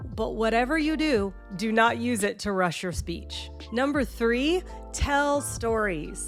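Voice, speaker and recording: A woman takes a very slow pace as music plays behind her. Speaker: public speaker and marketer. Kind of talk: public speaking tips video, casual talk to camera.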